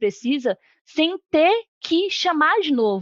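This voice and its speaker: A woman's pitch swings very widely as she speaks. The sound is dry and close, with no echo. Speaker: developer, conference speaker. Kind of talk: technical talk.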